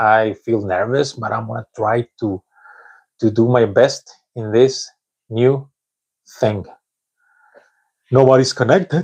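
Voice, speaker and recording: Pausing long and often, a man with a Spanish accent is heard in a dry, close sound with no echo. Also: medium pitch for a man, ordinary pitch variation, fairly slow pace. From Mexico. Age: 40s. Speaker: English learner vlogger. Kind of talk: live stream monologue. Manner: halting.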